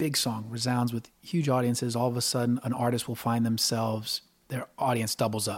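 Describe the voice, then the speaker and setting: A man's flat, monotone delivery moves along at a fairly quick clip. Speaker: musician and band frontman. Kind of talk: casual interview conversation. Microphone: recorded level a little low, some distortion.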